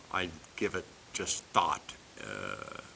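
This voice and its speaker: Words come out very slowly, with noticeable noise in the background. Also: man. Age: 50s. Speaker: video creator. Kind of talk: casual monologue. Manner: halting, many fillers.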